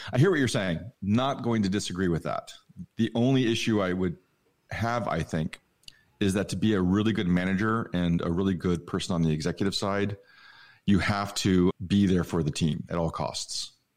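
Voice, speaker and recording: With a plain, everyday voice, a man speaks at a moderate pace and a fairly low pitch. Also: ordinary pitch variation, very clean recording, silent background. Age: 50s. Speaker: designer. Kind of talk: casual chat.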